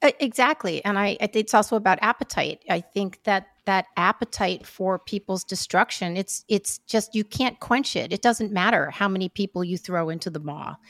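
An ordinary speaking voice moves at a moderate pace with hardly any pauses and ordinary pitch variation. The recording is very clean, dry and close, with no echo and a silent background. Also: woman, medium pitch for a woman. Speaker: podcast co-host. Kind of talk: casual interview conversation. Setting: studio.

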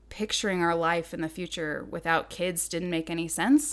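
A woman with an American accent speaks at a fairly slow pace, her voice shaky. The recording is very clean, with a silent background. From southern Idaho. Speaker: adoptive mother and graphic designer. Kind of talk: interview. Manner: slight quiver in voice.

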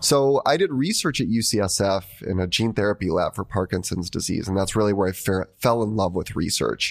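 Delivered at a fairly quick pace with hardly any pauses, an unremarkable speaking voice holds very even loudness and ordinary pitch variation. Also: man, fairly low pitch for a man, very clean recording, silent background. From US, born in Argentina and moved as a young child. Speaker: biotech scientist and entrepreneur. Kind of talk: interview. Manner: casual, many fillers.

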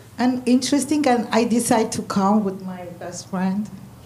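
With noticeable background noise behind her, a woman talks at a fairly slow pace with ordinary pitch variation. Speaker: church attendee. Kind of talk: casual chat. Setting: stage with audience.

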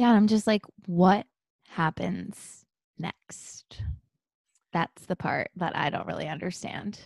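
At a very slow pace with long, frequent pauses, a woman with vocal fry talks at medium pitch with ordinary pitch variation, over a quiet background in a dry, close sound with no echo. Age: 30s. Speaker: podcast co-host. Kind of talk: casual chat.

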